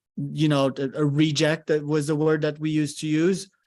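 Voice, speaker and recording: Over a quiet background, a man with a fairly high pitch talks at a fairly quick pace in a monotone, flat intonation. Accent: French. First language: French. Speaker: podcast host. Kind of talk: live coaching session on a podcast.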